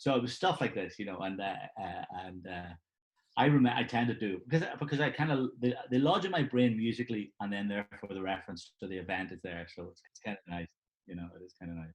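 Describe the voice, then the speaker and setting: A man with a Belfast accent talks very fast at a fairly low pitch, with lively intonation and big swings in loudness. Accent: Belfast, Northern Irish. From Northern Ireland, Belfast. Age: 60s. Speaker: session drummer. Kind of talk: interview. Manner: halting, many fillers.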